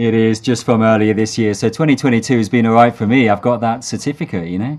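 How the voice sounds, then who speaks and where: A man speaks at a very fast pace with a British accent. His intonation stays fairly even. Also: medium pitch for a man. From United Kingdom. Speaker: seminary theology lecturer. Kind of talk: interview.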